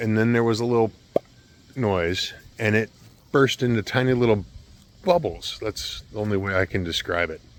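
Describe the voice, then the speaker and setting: With noticeable background noise behind him, a man speaks at a moderate pace, leaving long, frequent pauses. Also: medium pitch for a man, ordinary pitch variation. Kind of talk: personal ghost story told to camera.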